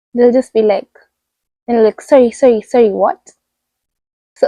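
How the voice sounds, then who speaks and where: With a Kenyan accent, a woman speaks at a moderate pace, her pitch fairly high and her tone dark and mellow. The sound is dry and close, with no echo. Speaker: vlogger. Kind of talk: casual chat. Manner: animated.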